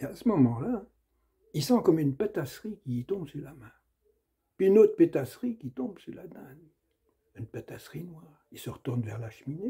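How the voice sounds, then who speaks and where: Somewhat breathy and dark, mellow in tone, a man in a Sarthe accent speaks at a moderate pace with a fairly high pitch and very wide pitch swings. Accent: Sarthe rural dialect. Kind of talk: storytelling, folk tale narration.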